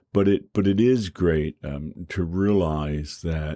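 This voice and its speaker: Ordinary pitch variation runs through the male speaker's dark, mellow tone. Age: 60s. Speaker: professor. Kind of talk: lecture. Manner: halting, many repetitions and fillers.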